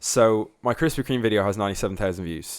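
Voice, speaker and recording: Animated in tone, a man speaks at a fairly quick pace with ordinary pitch variation. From Ireland, Dublin. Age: 20s. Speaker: youtuber. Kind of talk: podcast interview.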